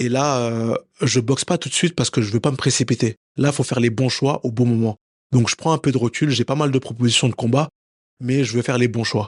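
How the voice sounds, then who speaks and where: Talking at a fairly quick pace, a man keeps a medium pitch and fairly even intonation. The sound is dry and close, with no echo. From France, Paris. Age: 30s. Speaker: professional boxer. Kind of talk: interview. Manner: hesitant, many fillers and repetitions.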